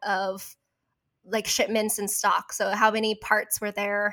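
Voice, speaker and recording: At a moderate pace, the speaker has a bright, sharp tone and a Californian accent. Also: woman. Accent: Californian American. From Orange County, California. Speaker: guest. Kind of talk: casual chat.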